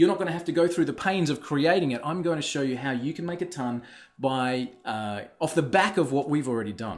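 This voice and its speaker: At a fairly quick pace, a man speaks with fairly high pitch and ordinary pitch variation. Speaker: software entrepreneur. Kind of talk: webinar sales pitch. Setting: online webinar. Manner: fast; hesitant, many fillers.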